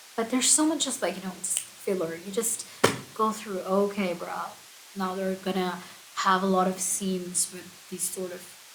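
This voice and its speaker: A soft-spoken woman talks in a relaxed tone at a medium pitch and moderate pace, with ordinary pitch variation. Her loudness swings widely, and there is audible room echo plus noticeable background noise. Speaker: book vlogger. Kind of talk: casual chat.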